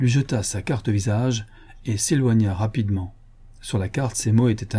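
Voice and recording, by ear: The text is read aloud in a natural voice.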